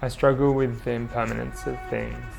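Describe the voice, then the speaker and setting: A man's calm tone over music in the background. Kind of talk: documentary narration.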